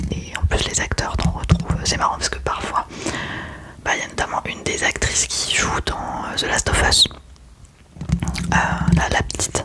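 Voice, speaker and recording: A woman whispers over noticeable background noise. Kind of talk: ASMR whispered chat to camera about favorite series. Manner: whispered, soft-spoken, relaxing.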